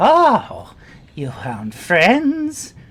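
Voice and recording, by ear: Shrill and at a middle pitch, this put-on character voice carries the speech.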